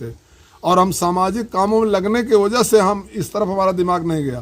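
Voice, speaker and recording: Ordinary pitch variation moves through a man's high-pitched speech. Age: 70s. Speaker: retired soldier. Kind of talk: interview. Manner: halting.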